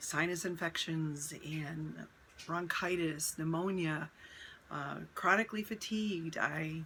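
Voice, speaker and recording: A woman's fairly low-pitched voice, bright and sharp in tone, fairly even in intonation, at a very slow pace. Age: 60s. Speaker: holistic nutrition coach. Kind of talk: casual talk to camera.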